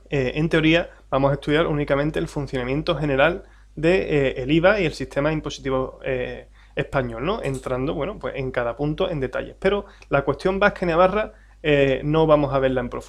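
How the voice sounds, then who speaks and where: In an Andalusian accent, a man talks at a fairly quick pace with a fairly high pitch, ordinary pitch variation and vocal fry. The background is quiet. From Andalusia, Spain. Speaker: tax adviser and exam-prep teacher. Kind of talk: lecture. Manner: hesitant, many fillers.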